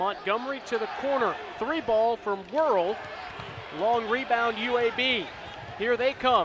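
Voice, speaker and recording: Over noticeable background noise, a man speaks fairly slowly in an extremely high pitch with lively intonation. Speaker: sports reporter and play-by-play broadcaster. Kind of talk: live play-by-play commentary. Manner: excited, energetic.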